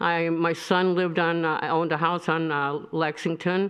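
A woman speaks with a Michigan accent. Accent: US Midwest (Michigan). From Michigan, Royal Oak. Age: 70s. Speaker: resident speaking at public comment. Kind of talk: public comment at city meeting.

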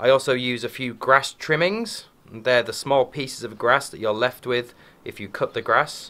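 A man talks at a moderate pace with medium pitch and ordinary pitch variation. His tone is bright and sharp, and his loudness swings a lot. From Yorkshire, England. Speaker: English teacher. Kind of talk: casual educational vlog to camera. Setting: outdoors, garden. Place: garden. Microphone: phone near.

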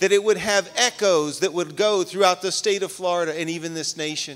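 A high-pitched man's voice at a fairly quick pace against a quiet background. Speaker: pastor. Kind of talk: sermon. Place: church. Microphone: handheld.

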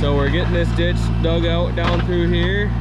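The sound is dry with no echo. Loud background noise runs behind it. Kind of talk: casual vlog commentary. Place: forest. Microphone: phone near.

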